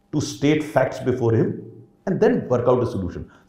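A man speaks at a moderate pace in a medium pitch, his tone dark and mellow. His voice is somewhat breathy and swings very widely in pitch. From India, Uttar Pradesh. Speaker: retired civil servant. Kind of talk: interview.

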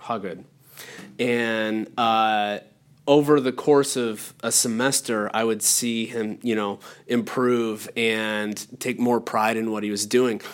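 A man with an American accent, very slow, in a monotone with flat intonation. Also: medium pitch for a man, very clean recording, silent background. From northwestern Pennsylvania. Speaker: podcast host, art faculty. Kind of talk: casual interview. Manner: hesitant, many fillers.

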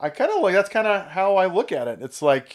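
A man with an American accent speaks at a fairly quick pace, his pitch swinging very widely. The recording is very clean, with a silent background. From California. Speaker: business partner and operations manager. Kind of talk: casual chat.

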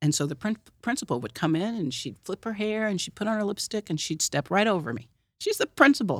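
Speaking very fast in an American accent, a woman at medium pitch shows very wide pitch swings and vocal fry, with a dry, close sound and no echo. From Oklahoma City, US. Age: 50s. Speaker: founder of empowerment movement. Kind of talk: casual chat. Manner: halting, repeats words.

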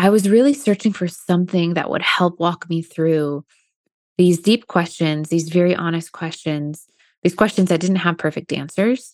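A woman's plain, everyday voice, fairly low in pitch with ordinary pitch variation, at a moderate pace. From US Midwest, Indiana. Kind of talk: faith testimony in casual interview. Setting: video call.

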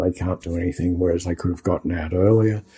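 Somewhat breathy and dark, mellow in tone, a man talks with an Australian accent. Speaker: podcast co-host. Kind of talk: interview conversation. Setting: video call.

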